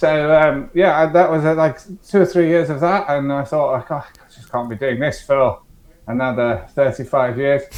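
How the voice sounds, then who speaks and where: This man has a fairly high pitch and ordinary pitch variation. His loudness swings widely at a moderate pace. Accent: English. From England. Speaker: startup founder, former security director. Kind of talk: podcast interview. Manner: hesitant, many fillers and repeats.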